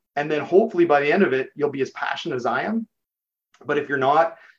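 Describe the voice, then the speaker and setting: The speaker is a man with a fairly high pitch. He talks at a very fast pace. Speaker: chief information officer. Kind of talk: casual interview conversation. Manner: fast talker; excitable.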